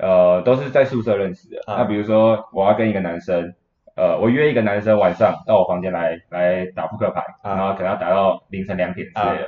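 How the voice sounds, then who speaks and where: In a normal speaking voice, a man with fairly low pitch and ordinary pitch variation moves at a fairly quick pace with hardly any pauses and big swings in loudness. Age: 20s. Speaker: university student. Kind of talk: interview.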